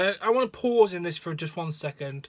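With a British accent, a man speaks at a high pitch with ordinary pitch variation. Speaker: wrestling news host. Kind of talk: news reading; emotional personal testimony, read aloud in first person. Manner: sombre, heavy, confessional delivery. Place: home room. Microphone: phone near.

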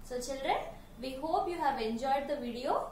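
Amid light background noise and audible room echo, a woman with a high voice speaks at a fairly slow pace. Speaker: presenter. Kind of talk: children's educational talk. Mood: warm, encouraging. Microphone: camera far.

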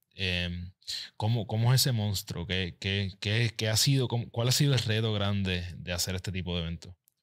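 An unremarkable speaking voice from a man, fairly low in pitch, at a moderate pace with a quiet background. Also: ordinary pitch variation. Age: 40s. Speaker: podcast host and habits coach; podcast host, habits coach. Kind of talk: interview podcast. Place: studio. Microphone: studio mic.

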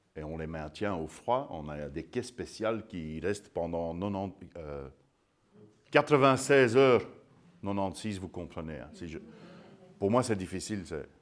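A man with a very deep, low pitch, lively intonation, a very slow pace and long, frequent pauses. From Belgium. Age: 50s. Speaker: sourdough expert and baker; guest. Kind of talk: public lecture. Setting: museum talk with live audience. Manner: animated. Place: hall.

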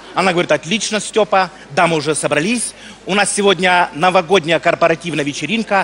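A man with lively intonation at a moderate pace amid noticeable background noise. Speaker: comedian. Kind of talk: comic stage monologue. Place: stage.

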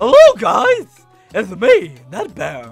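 A man's put-on character voice with faint music in the background. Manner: goofy, silly.

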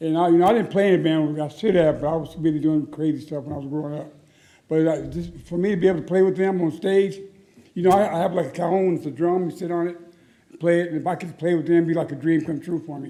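A man speaks very fast in a high voice with a dark, mellow tone and fairly even intonation. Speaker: resident speaking at a council meeting. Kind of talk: public testimony. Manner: halting.

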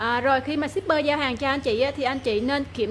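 Light background noise sits under a woman's voice. She speaks high-pitched at a fairly quick pace. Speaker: phone shop seller. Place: shop. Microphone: phone near.

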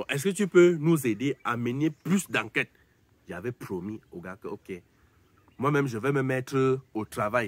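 A man speaks fairly slowly with lively intonation. The sound is dry, with no echo. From Cameroon. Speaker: YouTuber commentator; entertainment vlogger. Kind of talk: casual monologue to camera. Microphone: phone near.

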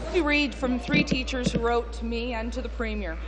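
A woman speaking at a fairly quick pace, with faint music in the background. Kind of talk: parliamentary question. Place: hall. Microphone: podium.

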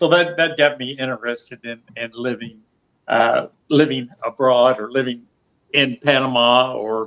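A man speaks with a Southern US accent. His pitch is medium and his pace moderate. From US South. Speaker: retired expat. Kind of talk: interview. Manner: halting, repeats words. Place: home room. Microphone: video call.

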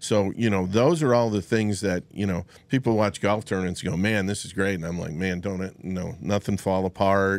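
Here a man speaks at a fairly quick pace with hardly any pauses. His intonation is fairly even, and the sound is dry with no echo. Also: fairly low pitch for a man. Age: 60s. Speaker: golf club fitter. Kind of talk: casual chat. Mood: relaxed, humorous. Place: studio. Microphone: studio mic.

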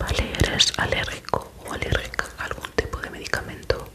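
Whispering at a moderate pace, a woman speaks in a gentle tone. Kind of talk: ASMR roleplay, soft-spoken questions. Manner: gentle, very soft clinic questions. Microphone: studio mic.

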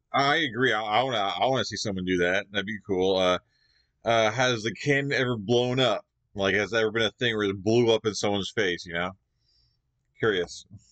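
The speech has ordinary pitch variation over a quiet background. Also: man, fairly low pitch for a man. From Canada. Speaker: YouTube reaction creator. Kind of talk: video reaction commentary. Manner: halting, filler-heavy. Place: home room.

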